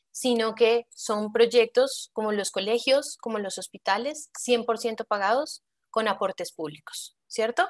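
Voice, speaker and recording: With a plain, everyday voice, a woman of fairly high pitch speaks at a fairly slow pace with hardly any pauses and ordinary pitch variation, over a quiet background. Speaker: public infrastructure finance expert, panelist. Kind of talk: panel discussion.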